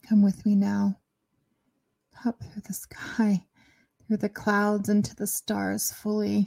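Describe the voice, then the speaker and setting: At a very slow pace, a woman speaks in a gentle, soothing tone with long, frequent pauses, her sound dry and close with no echo. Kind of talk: guided meditation. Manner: slow, soothing, calm; gentle, with long pauses.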